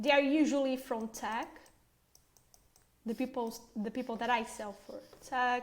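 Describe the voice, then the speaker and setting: A woman's high voice with a non-native accent and fairly even intonation. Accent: foreign. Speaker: agency owner, marketing trainer. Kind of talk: training presentation. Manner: conversational, filler words.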